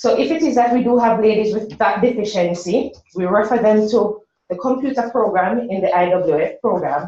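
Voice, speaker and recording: A woman with a Jamaican accent and a fairly high pitch speaks at a moderate pace with lively intonation. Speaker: workshop presenter for a women's business program. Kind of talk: presentation.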